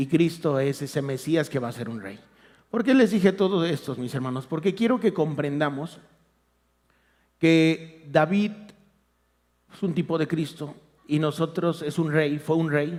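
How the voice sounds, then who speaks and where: Speaking at a fairly slow pace with long, frequent pauses, a man with a fairly high pitch shows ordinary pitch variation and big swings in loudness. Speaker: lay preacher. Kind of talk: sermon. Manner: soft-spoken. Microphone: too quiet.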